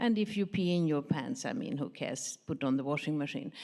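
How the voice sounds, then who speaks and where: A woman with a slight Swedish accent speaks in a dark, mellow tone at a moderate pace, her pitch swinging very widely. The recording is very clean, with a silent background. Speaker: pharmaceutical industry professional, audience member. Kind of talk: audience question at a conference panel.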